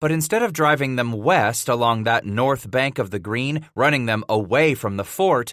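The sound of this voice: The voice is heard here. It is an unforced reading voice.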